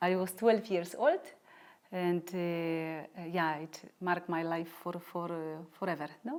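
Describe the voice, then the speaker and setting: With a Polish accent, a woman speaks at a fairly slow pace in a fairly low pitch with fairly even intonation. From Poland. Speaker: doctor and lay religious community member. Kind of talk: interview. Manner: halting.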